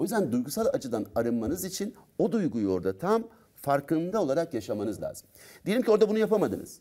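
Against a quiet background, a man talks at a very fast pace in a dark, mellow tone with very wide pitch swings. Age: 50s. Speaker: doctor and personal development trainer; personal development trainer. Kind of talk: talk show interview. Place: studio. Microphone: lapel.

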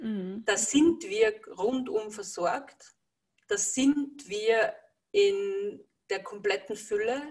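Against a quiet background, a somewhat breathy woman with a fairly high pitch speaks very slowly with lively intonation. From Lower Austria. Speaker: energy healer working with horses; interviewee. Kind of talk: interview. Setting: video call. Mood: calm, warm. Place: home room. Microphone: video call.

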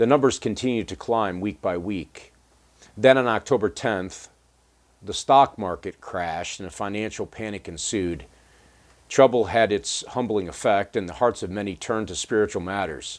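A man with an American accent talks at a moderate pace with ordinary pitch variation. His pitch is fairly low, and the background is quiet. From United States. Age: 50s. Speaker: pastor. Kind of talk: devotional talk. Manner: halting. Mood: earnest, calm. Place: home room.

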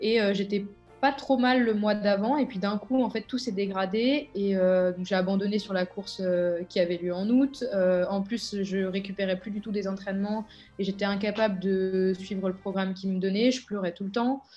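Faint music in the background behind a woman's medium-pitched voice with fairly even intonation. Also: moderate pace. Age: 20s. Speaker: elite triathlete. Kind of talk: testimony. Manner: hesitant, many filler words. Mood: reflective, subdued. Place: home room. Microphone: webcam.

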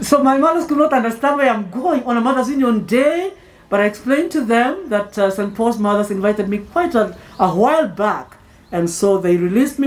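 Talking fairly fast, the woman lets her pitch swing very wide. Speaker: clergy preacher. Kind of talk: sermon. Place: tent. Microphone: podium.

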